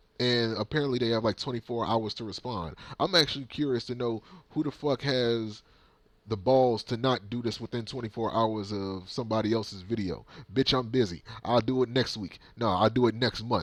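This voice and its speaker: A man talks at a fairly quick pace in an animated tone, with ordinary pitch variation. The background is quiet. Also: medium pitch for a man. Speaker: video blogger ranting on current trends. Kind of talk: opinion rant. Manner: mumbling.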